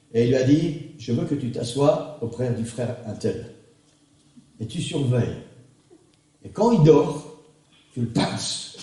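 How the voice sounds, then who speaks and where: A man speaks at a very slow pace and a medium pitch, with long, frequent pauses. His loudness swings widely, and there is audible room echo. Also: ordinary pitch variation. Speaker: pastor. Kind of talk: sermon. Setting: church. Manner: animated.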